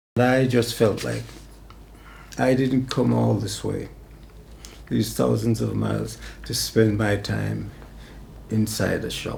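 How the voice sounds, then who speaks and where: Audible echo from the room follows this man's voice. He speaks at a fairly slow pace. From Jamaica. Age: 80s+. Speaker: former bus worker and housing worker. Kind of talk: documentary interview.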